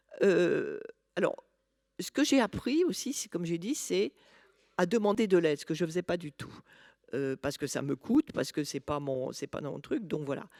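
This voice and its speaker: A woman's dark, mellow tone makes very wide pitch swings in a very clean recording, dry and close with no echo and a silent background. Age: 60s. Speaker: patient expert. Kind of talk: personal testimony at a conference. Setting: conference talk. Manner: halting, many hesitations.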